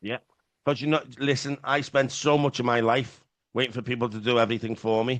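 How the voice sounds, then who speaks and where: A man with a Liverpool accent talks at a fairly quick pace with fairly even intonation. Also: medium pitch for a man. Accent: Scouse. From Liverpool, England. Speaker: podcast host in addiction recovery. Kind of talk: casual chat.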